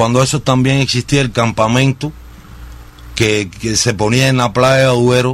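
A fairly slow pace, with fairly even intonation and very even loudness. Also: man, medium pitch for a man. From Cuba, Sagua la Grande. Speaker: singer. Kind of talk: radio interview. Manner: halting, many fillers.

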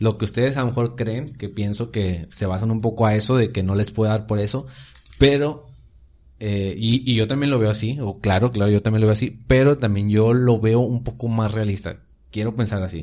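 A man's dark, mellow tone at medium pitch and moderate pace, with fairly even intonation. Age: young. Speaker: church youth podcast co-host. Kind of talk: casual chat.

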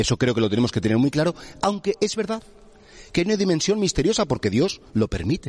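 A man's very fast, vocal-fried speech with very wide pitch swings and very even loudness, dry and close with no echo. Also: fairly high pitch for a man. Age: 50s. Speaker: priest. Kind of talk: sermon.

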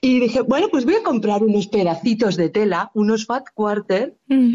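A woman with a high pitch talks at a fairly slow pace. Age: 40s. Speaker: fabric shop owner. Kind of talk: interview. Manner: animated.

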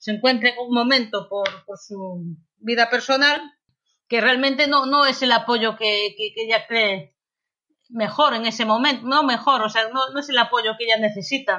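A woman speaks in a plain, everyday voice at a fairly high pitch. Her pitch varies in an ordinary way and her pace is moderate. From Galicia, Spain (Lugo). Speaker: novelist. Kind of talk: interview.

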